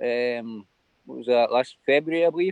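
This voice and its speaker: A man at a very fast pace with lively intonation. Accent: Glaswegian. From Scotland, Glasgow. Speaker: livestream guest. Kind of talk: casual chat.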